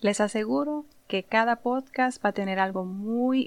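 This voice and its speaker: In a Puerto Rican accent, a woman speaks at a fairly high pitch with ordinary pitch variation. Her pace is fairly slow, and the recording is very clean with a silent background. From Puerto Rico (Santurce). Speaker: podcast host, insurance professional. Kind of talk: monologue podcast, informal advice.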